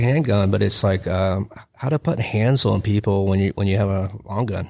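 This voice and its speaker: A man in a normal speaking voice with an American accent, fairly low in pitch, at a moderate pace with ordinary pitch variation. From Texas. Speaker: combatives instructor, retired police officer and Marine. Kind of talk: casual chat. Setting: studio.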